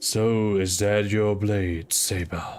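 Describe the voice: A rumbling, put-on character voice. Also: man.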